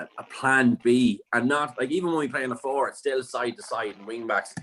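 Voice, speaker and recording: This man has an Irish accent and moves at a fairly quick clip, his medium pitch varying in an ordinary way while his loudness swings widely. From Ireland. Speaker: football fan pundit. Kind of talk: casual chat.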